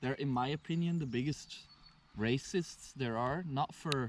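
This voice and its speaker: A man with a Flemish Belgian accent speaks in a fairly high pitch with lively intonation. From Belgium (Flanders). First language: Flemish Dutch. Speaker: local host showing a visitor around. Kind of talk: casual chat.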